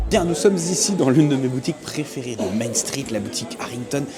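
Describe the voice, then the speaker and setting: A man talks at a fairly quick pace with lively intonation. Noticeable background noise and audible room echo fill the recording. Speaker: theme park vlogger. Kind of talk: walking tour vlog. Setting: outdoors in theme park. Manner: casual, animated.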